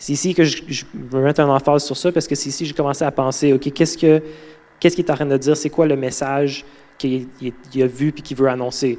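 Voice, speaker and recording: With a Quebec accent, a man talks at a fairly quick pace in monotone, flat intonation, his fairly high pitch carrying a dark, mellow tone. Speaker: guest preacher, mentorship intern. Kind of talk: sermon. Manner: halting, many fillers and repetitions.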